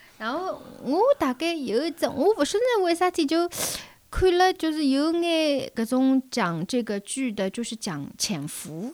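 The pitch swings very widely at a fairly slow pace. Noticeable background noise runs underneath. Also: woman, high pitch for a woman. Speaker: podcast guest. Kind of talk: casual chat.

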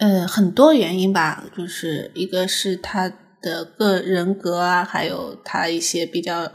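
At a very slow pace, a woman with a slight Shanghai accent speaks with fairly even intonation. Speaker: designer and guest. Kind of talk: casual chat.

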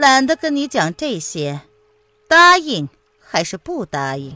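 A woman's put-on character voice, fairly high-pitched, bright and sharp, with big pitch swings, a fairly slow pace and faint music in the background

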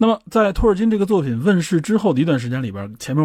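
A man talks at a very fast pace in a somewhat breathy voice with very wide pitch swings, on a very clean recording with a silent background. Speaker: podcast host. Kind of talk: solo explanatory monologue.

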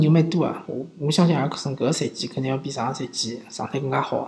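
A moderate pace in a Shanghai accent. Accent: Shanghainese-accented Mandarin. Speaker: sports podcast host. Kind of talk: casual commentary. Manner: halting, many fillers.

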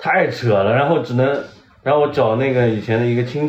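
A man talks at a very fast pace. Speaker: painter. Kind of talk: casual chat. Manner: animated.

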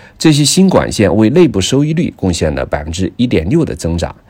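Over a very clean recording with a silent background, a man talks with vocal fry and very wide pitch swings. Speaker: industry news commentator, podcast producer. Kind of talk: scripted news reading. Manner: formal.

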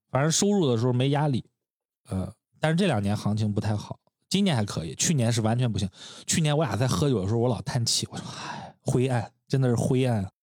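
A man talks at a very fast pace with lively intonation. His pitch sits at a medium level. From Shandong, China. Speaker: podcast co-host, brand designer. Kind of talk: casual chat. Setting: home studio.

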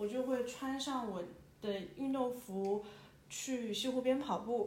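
A woman's fairly high voice with ordinary pitch variation, a very slow pace, audible room echo, and noticeable background noise. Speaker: podcast host. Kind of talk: solo reflective monologue. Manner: hesitant, many fillers; conversational, intimate.

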